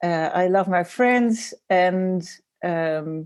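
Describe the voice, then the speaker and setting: Speaking at a very slow pace with a Dutch accent, a woman uses a dark, mellow tone, fairly low pitch and ordinary pitch variation. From Netherlands. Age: 40s. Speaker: designer and graphic facilitator. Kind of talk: podcast interview. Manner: hesitant, many fillers.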